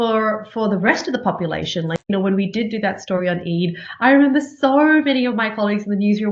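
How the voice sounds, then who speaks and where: A woman with an American accent, very fast and lively in intonation, with noticeable background noise. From Australia. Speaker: TV journalist and news anchor. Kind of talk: interview conversation. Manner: frequent repetitions and fillers.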